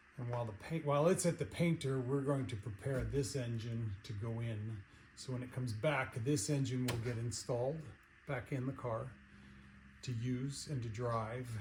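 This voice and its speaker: A man's somewhat breathy voice at medium pitch, with ordinary pitch variation and a moderate pace. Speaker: car restoration hobbyist. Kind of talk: casual chat. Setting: workshop. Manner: soft-spoken; halting.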